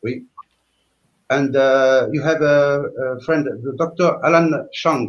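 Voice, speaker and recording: A man with a fairly high pitch speaks at a very slow pace, leaving long, frequent pauses. His intonation is fairly even. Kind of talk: live stream group discussion. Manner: halting.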